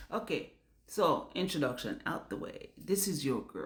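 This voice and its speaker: A woman with a Jamaican accent speaks at a moderate pace, her fairly low voice swinging very widely in pitch. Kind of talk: casual talk to camera. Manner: animated, candid.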